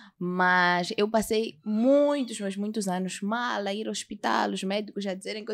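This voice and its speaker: A plain, everyday voice runs at a moderate pace with hardly any pauses and ordinary pitch variation on a very clean recording with a silent background. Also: woman. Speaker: singer, actress and TV presenter. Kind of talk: casual chat.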